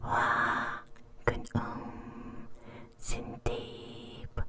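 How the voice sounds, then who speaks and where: Very slow speech over noticeable background noise. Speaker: ASMR artist. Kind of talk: ASMR trigger words. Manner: repetitive, slow.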